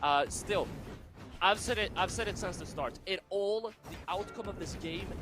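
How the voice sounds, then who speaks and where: There is noticeable background noise as a man speaks at a moderate pace. His pitch is high, with ordinary variation. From Sweden. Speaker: esports caster. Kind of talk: live commentary.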